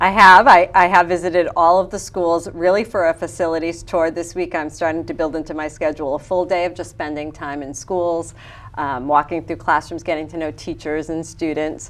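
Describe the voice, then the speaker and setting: A woman's fairly low voice at a fairly quick pace, with big swings in loudness and fairly even intonation. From Fall River, Massachusetts (Portuguese-speaking home). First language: Portuguese. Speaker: school superintendent. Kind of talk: interview.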